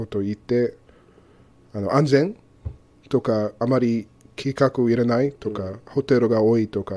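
With an English accent, a man speaks in a dark, mellow tone and fairly even intonation. He keeps a moderate pace and leaves long, frequent pauses. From Arizona, US. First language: English (speaking Japanese). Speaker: co-host, university teacher. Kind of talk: casual educational chat. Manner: halting non-native Japanese. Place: studio.

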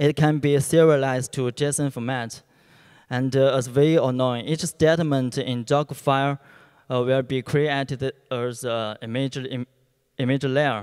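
With a Chinese accent, this man speaks in a monotone with flat intonation. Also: fairly slow pace, quiet background. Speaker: software engineer; conference presenter. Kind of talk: conference talk. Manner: halting. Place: hall. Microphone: handheld.

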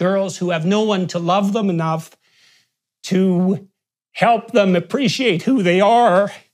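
A man speaks at a high pitch and a fairly slow pace. His intonation stays fairly even over a quiet background. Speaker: commentator. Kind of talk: interview answer. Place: home room. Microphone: lapel.

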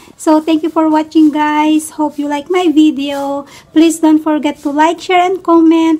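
Extremely high-pitched and flat, the woman's delivery stays monotone throughout. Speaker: vlogger. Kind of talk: casual vlog chat. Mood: cheerful.

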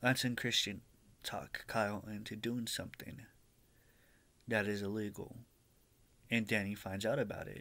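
A man's fairly low voice, bright and sharp in tone, with fairly even intonation. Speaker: vlogger. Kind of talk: casual vlog chat. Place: home room. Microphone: webcam.

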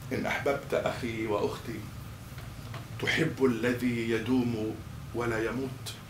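This man speaks very slowly, with long, frequent pauses and a monotone, flat intonation. Noticeable background noise sits behind him. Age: 40s. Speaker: imam. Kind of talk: sermon. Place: hall.

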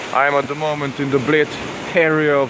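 The sound is dry with no echo, yet noticeable background noise is present. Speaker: fly fishing guide or angler. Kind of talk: casual vlog commentary. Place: waterside. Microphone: phone near.

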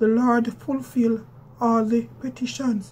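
At a very slow pace, a woman speaks in a fairly high pitch with monotone, flat intonation. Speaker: scripture reader. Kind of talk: scripture reading. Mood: calm, devout. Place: home room. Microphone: phone near.

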